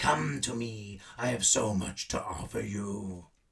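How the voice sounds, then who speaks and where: This is a put-on character voice. The pace is fairly slow. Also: man, fairly low pitch for a man. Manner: menacing, seductive.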